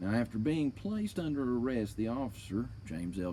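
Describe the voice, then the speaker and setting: This man has a medium pitch, a dark, mellow tone and lively intonation, and he talks at a fairly quick pace. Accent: American. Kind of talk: reading aloud a police report with commentary. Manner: casual, swearing, indignant.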